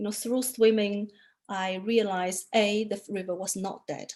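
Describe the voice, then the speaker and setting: In a Chinese accent, a woman with a medium pitch speaks at a fairly slow pace with fairly even intonation. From China. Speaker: artist photographer. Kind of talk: interview talk about own work. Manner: hesitant, many fillers.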